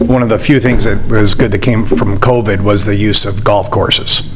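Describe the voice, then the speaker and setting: A man speaks with monotone, flat intonation amid audible room echo and music in the background. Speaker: applicant at public hearing, golf course operator. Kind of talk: public hearing testimony. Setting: municipal meeting room with podium microphone.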